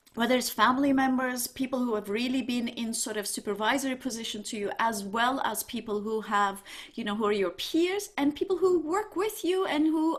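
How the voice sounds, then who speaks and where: With a Turkish accent, a woman speaks at a moderate pace in a high pitch with lively intonation. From Turkey. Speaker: university dean, economics professor. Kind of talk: panel discussion on video call. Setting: video call.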